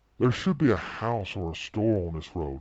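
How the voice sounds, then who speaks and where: Putting on a character voice, a man speaks at a moderate pace with a fairly low pitch and lively intonation. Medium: read story.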